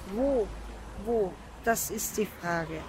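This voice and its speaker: A woman is speaking. Her pace is very slow. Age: 20s. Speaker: homeless drug user. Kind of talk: interview.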